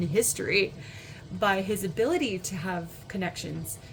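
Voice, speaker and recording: A woman speaks with ordinary pitch variation while noticeable background noise carries underneath. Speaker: tarot reader. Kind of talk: pick-a-card tarot reading. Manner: casual, filler-heavy. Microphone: poor audio, looking for a new microphone.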